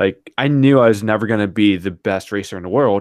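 On a very clean recording with a silent background, a man with an American accent uses a normal speaking voice, fairly low in pitch, at a moderate pace with ordinary pitch variation. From US Northeast. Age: 20s. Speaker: YouTube bike skills channel creator. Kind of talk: casual chat.

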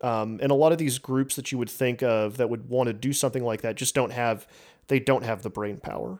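In a very clean recording with a silent background, a man with an American accent uses a normal speaking voice, talking at a fairly quick pace with medium pitch and fairly even intonation. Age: 30s. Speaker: podcast host and journalist. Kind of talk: casual chat.

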